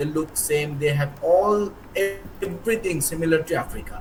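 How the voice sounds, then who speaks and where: Someone with a Bengali accent speaks at a moderate pace over noticeable background noise. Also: man. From India. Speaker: professor. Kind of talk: speech. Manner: energetic; halting.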